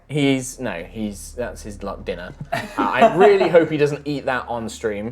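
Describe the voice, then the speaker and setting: The delivery is fairly slow with hardly any pauses, over noticeable background noise. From Britain. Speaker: dungeon master. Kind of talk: tabletop game stream host.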